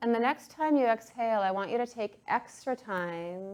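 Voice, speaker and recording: A woman's fairly high, a plain, everyday voice, at a fairly slow pace with ordinary pitch variation. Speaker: breathwork and yoga instructor. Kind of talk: guided breathwork class instruction. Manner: calm, instructive.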